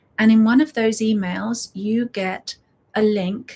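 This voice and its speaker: Fairly even intonation runs through this woman's speech. Her voice is somewhat breathy. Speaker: breathwork facilitator. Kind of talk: casual chat before a guided breathwork session. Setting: live stream. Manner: warm, unscripted.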